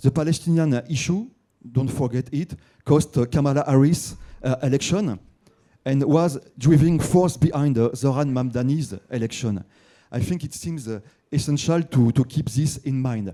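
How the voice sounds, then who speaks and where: A man's fairly high voice with a dark, mellow tone, in a French accent, at a moderate pace with ordinary pitch variation. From France. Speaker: newspaper writer, audience member. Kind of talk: audience question at conference. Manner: halting, many fillers and repetitions.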